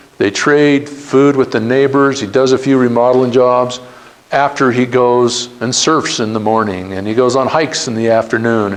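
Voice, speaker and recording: A man speaks at a moderate pace with an American accent, his pitch medium and his intonation fairly even. Noticeable background noise runs under the recording. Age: 60s. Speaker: entrepreneur. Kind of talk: talk to students. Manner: casual.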